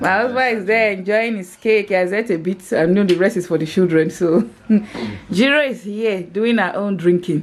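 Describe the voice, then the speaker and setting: This is a plain, everyday voice. A woman speaks at a moderate pace and medium pitch with ordinary pitch variation. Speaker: lifestyle vlogger. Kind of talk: casual vlog.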